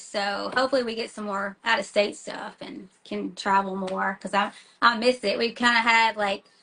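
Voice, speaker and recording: In a Tennessee accent, a woman speaks with ordinary pitch variation. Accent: Southern US (Tennessee), noticeable. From US South, small-town Tennessee. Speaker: metal band singer and schoolteacher. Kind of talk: casual interview. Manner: fast, many fillers and restarts; animated.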